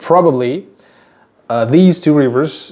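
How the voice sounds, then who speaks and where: Speaking at a fairly slow pace with a Tajik accent, this man uses ordinary pitch variation. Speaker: YouTuber teaching place names. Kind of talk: casual talk to camera. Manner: halting, many fillers and repeats.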